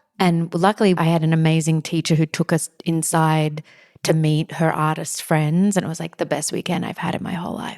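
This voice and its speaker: Dry and close with no echo, a woman with an Australian accent talks at a fairly low pitch and a fairly quick pace in a monotone, flat delivery. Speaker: podcast host. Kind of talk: interview.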